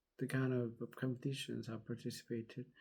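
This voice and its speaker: A man talks with a non-native accent in a medium-pitched, dark and mellow voice. His intonation is monotone and flat. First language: not English. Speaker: vlogger. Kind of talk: casual personal storytelling. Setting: at home, just out of bed. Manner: halting, many fillers.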